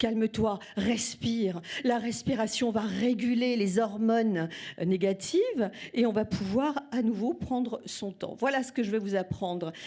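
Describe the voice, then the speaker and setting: A woman with a fairly high pitch talks fairly slowly in an ordinary speaking voice, and her pitch varies in an ordinary way. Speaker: singing teacher. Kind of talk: speech to audience. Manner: warm, speaks with pauses and fillers.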